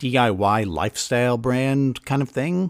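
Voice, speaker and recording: This man has an American accent and a medium pitch. The recording is very clean with a silent background and a dry, close sound with no echo. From US Northeast, near Boston. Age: 30s. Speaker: podcast host and musician. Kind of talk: monologue and show outro; casual interview. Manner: hesitant, many fillers.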